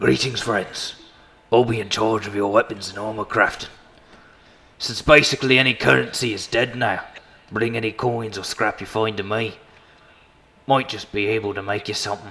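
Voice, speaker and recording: Putting on a raspy character voice at medium pitch, a man speaks at a moderate pace with long, frequent pauses. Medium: actual play. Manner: plain-spoken, practical.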